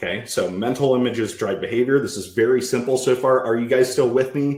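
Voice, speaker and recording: At a fairly quick pace, a man talks at medium pitch. His intonation is fairly even. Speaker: sales trainer. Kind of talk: live presentation to group. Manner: fast.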